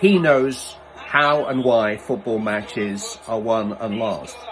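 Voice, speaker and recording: Lively intonation from a man at medium pitch, over noticeable background noise. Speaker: football commentator. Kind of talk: casual talk to camera.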